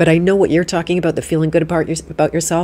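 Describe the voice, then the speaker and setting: Over light background noise, a woman speaks with a very deep, low pitch and a dark, mellow tone. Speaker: podcast host. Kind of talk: live interview conversation. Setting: live stream with online audience. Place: home room. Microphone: studio mic.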